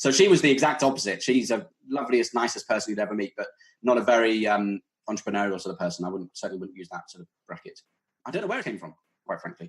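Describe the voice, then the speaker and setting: At a very fast pace, a man with a British accent speaks with lively intonation. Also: medium pitch for a man. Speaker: startup founder. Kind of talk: podcast interview.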